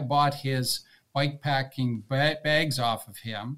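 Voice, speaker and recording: A man with a Canadian accent has an ordinary speaking voice at medium pitch, with ordinary pitch variation. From Canada (mostly Toronto). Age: 60s. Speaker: retired long-distance cyclist. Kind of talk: casual interview chat.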